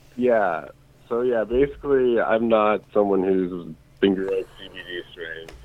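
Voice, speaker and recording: A man with a plain, everyday voice speaks fairly slowly in a fairly low pitch. His pitch varies in an ordinary way, while his loudness swings widely. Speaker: caller. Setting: phone call.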